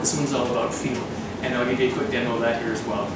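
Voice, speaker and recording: A man is speaking. There is loud background noise and audible room echo. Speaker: fitness instructor. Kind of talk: tutorial. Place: gym. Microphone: camera far.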